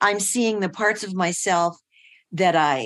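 A woman's medium-pitched voice at a fairly slow pace, against a quiet background. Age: 80s. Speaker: transformational coach and mentor. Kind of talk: interview, reflective conversation. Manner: halting, reflective.

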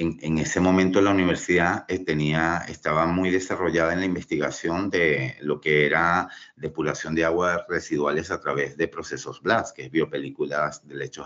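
The man's pitch is very deep and low. He talks at a moderate pace. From Venezuela. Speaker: civil engineer. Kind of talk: interview. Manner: halting, many fillers.

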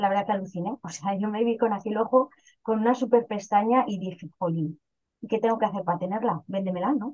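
Somewhat breathy and at a fairly quick pace, a woman in a northern Castilian accent talks at a medium pitch with ordinary pitch variation. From Spain, León province (northwest). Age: 40s. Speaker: direct-sales cosmetics seller. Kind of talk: casual interview testimony.

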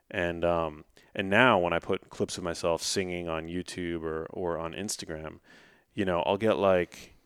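The recording is very clean with a silent background. A man speaks at a very deep, low pitch and a moderate pace, with fairly even intonation. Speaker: author and health expert. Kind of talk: casual interview chat.

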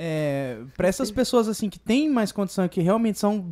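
In a dry, close, very clean recording with a silent background, a man with a dark, mellow tone talks at a moderate pace with very wide pitch swings. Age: 20s. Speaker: podcast co-host. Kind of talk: casual chat.

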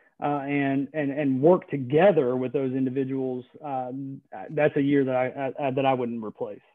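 The speaker has an American accent and a monotone, flat intonation. The pace is moderate. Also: man, medium pitch for a man. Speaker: government attorney. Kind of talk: interview. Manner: halting, many fillers.

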